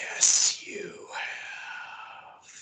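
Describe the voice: Put-on character voice from a man, with hissing and a slight echo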